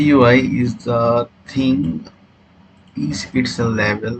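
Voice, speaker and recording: There is noticeable background noise. A man speaks at medium pitch with ordinary pitch variation. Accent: non-native. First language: not English. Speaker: trading educator. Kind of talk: tutorial. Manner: halting, many fillers.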